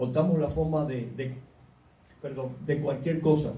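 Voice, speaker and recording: A man with a fairly high pitch is heard amid audible room echo. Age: 60s. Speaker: preacher. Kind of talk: sermon. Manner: animated.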